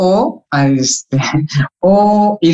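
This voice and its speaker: Here a man is talking. His intonation is lively. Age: 30s. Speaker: sociologist. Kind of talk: interview.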